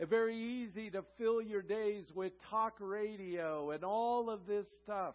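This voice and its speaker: A man is speaking here. His pitch sits high. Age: 60s. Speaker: guest pastor. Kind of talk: sermon. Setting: church with congregation.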